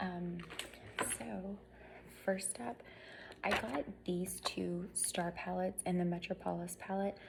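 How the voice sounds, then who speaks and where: A woman whispers at a very slow pace, leaving long, frequent pauses. Noticeable background noise sits behind her. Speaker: beauty vlogger. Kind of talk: tutorial. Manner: whispering; casual, filler-heavy.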